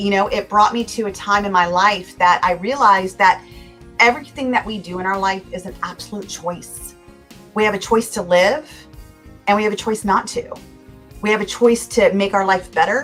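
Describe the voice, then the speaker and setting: Music plays in the background. A woman speaks at medium pitch. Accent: American. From California, USA. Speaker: motivational speaker and life coach. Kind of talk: interview answer.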